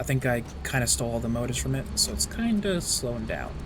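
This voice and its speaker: Speaking very fast, a man is heard through audible room echo and noticeable background noise. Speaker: gaming streamer. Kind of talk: casual gameplay livestream commentary. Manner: quieter than normal earlier, louder now roommate gone.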